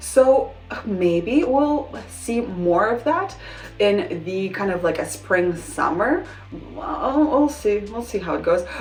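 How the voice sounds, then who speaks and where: Very slow speech with a non-native accent and very wide pitch swings, plus audible room echo and music in the background. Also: woman, medium pitch for a woman. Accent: noticeable non-native. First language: not English. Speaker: fashion vlogger. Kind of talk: casual vlog talk to camera. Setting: bedroom at home. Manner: casual, hesitant with restarts.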